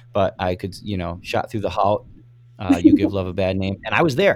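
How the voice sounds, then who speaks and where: With an American accent, a man talks at a fairly quick pace. His pitch is fairly low. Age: 30s. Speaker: podcast host. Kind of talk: casual chat. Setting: remote recording. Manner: animated.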